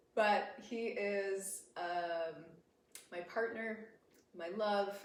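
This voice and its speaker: Fairly even intonation with an American accent, amid audible room echo and noticeable background noise. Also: woman. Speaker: podcast host. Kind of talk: casual chat. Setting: live stream with shared microphone.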